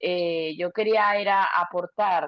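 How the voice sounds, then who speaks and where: A woman with a Venezuelan accent and ordinary pitch variation. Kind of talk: testimony. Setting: video call on a phone.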